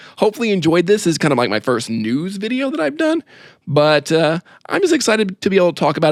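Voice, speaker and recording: A man speaks with vocal fry and very wide pitch swings. The recording is very clean with a silent background, dry and close with no echo. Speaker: horror content creator. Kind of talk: casual news commentary vlog. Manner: halting, stumbling over names.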